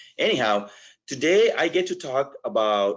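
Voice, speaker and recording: A man is speaking. He has a strong non-native accent. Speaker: education technology representative. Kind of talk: webinar presentation. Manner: hesitant, many fillers.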